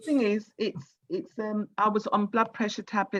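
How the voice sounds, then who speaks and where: An ordinary speaking voice, a woman's with a fairly high pitch moves at a moderate pace in a dry, close sound with no echo. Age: 60s. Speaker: radio host. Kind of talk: radio interview.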